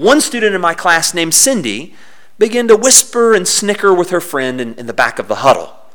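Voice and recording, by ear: A natural voice reading text aloud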